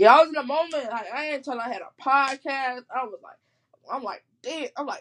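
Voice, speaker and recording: Speaking in a high voice with an American accent, a woman moves at a fairly quick pace with ordinary pitch variation. Her loudness swings widely, and the sound is dry and close with no echo. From Chicago. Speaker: podcast host. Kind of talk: casual chat.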